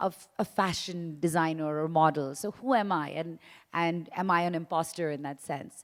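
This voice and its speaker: The voice is an unremarkable speaking voice with ordinary pitch variation. The recording is very clean, with a silent background. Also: woman. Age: 40s. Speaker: influencer and entrepreneur. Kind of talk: panel talk.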